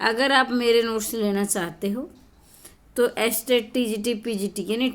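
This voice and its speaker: A woman with a high pitch talks at a very slow pace, her pitch varying in an ordinary way. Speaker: Hindi exam coaching teacher. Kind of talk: tutorial with sales pitch for notes.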